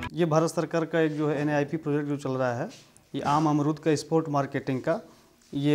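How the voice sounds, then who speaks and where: Here a man with a normal speaking voice talks at a moderate pace and a fairly high pitch. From Uttar Pradesh, India (Varanasi district). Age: 30s. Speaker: farmer. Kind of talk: testimony.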